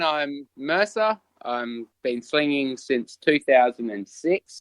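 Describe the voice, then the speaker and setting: A man with an Australian accent, fairly high pitched, at a very slow pace, in a dry, close sound with no echo. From Western Australia. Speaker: sling hunter. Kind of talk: casual chat.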